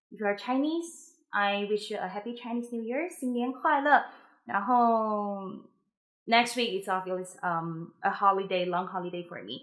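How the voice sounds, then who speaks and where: Speaking at a fairly slow pace in a Mandarin accent, a woman uses a medium pitch and lively intonation on a very clean recording with a silent background. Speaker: musician giving practice tips. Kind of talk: tutorial. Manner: casual, hesitant with fillers.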